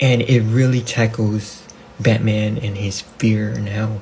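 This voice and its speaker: Over noticeable background noise, a man with a non-native accent speaks at a fairly slow pace in a monotone, flat intonation. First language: not English. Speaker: amateur comic book YouTuber. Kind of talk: casual vlog talk. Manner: halting, many restarts and fillers.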